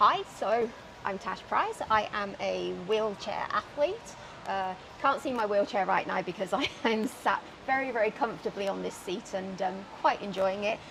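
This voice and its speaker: Speaking at a moderate pace with a British accent, a woman uses medium pitch and ordinary pitch variation over noticeable background noise. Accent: British, still noticeable. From UK. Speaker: wheelchair athlete. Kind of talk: casual chat. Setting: outdoors.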